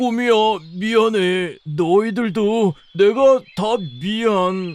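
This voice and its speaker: Using a cartoonish character voice, a man talks in a high pitch at a very slow pace. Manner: meek, stammering.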